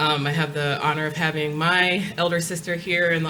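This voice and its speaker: With a Long Island accent, a woman with a very deep, low pitch speaks fairly quickly in fairly even intonation, with noticeable background noise and audible room echo. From New York, Long Island. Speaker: nonprofit executive director. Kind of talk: panel discussion. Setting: stage with audience.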